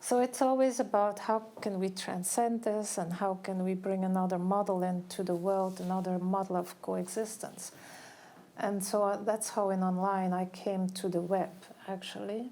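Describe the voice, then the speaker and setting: A woman's dark, mellow tone at a moderate pace. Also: medium pitch for a woman, fairly even intonation. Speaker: curator and art historian. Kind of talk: public talk. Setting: gallery event with audience.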